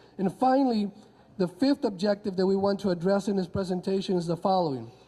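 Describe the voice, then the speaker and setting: Talking very fast with a Spanish accent, a man uses a high pitch with ordinary variation, a dark, mellow tone and very even loudness. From Honduras. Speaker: history professor. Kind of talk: conference talk. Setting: convention audience.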